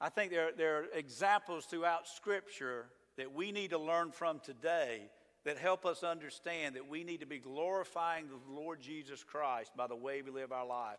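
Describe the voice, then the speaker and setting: A man with a Southern US accent talks at a fairly high pitch. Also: ordinary pitch variation, moderate pace. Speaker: pastor. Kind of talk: sermon. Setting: church.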